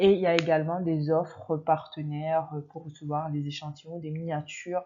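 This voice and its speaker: Speaking at a moderate pace, a woman keeps a fairly low pitch and a monotone, flat intonation. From Réunion island. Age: 30s. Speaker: youtuber, nursing assistant. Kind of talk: video presentation. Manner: casual with hesitations.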